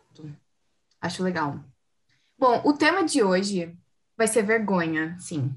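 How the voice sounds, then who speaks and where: A woman's medium-pitched voice is somewhat breathy, swinging very widely in pitch and heavily in loudness. She moves at a fairly slow pace, with long, frequent pauses. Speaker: podcast host. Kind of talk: casual chat.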